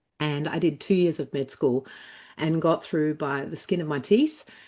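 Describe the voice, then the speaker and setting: A woman with an Australian accent talks at a moderate pace in a dark, mellow tone with ordinary pitch variation, over a quiet background. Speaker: former doctor turned healing coach. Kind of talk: interview. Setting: live online interview.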